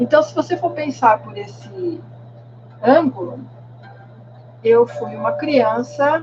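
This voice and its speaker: A woman speaks fairly slowly while music plays in the background. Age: 60s. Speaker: meditation and tai chi teacher. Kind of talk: podcast monologue.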